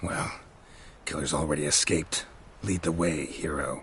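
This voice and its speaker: A man uses a raspy, very deep, low put-on character voice at a moderate pace, with clear background noise. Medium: video game.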